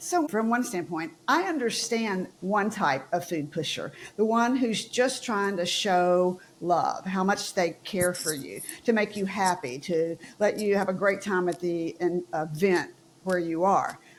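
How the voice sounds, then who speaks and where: In a Southern US accent, a woman talks at a fairly slow pace with medium pitch and ordinary pitch variation. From US South. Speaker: podcast host. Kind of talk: panel discussion.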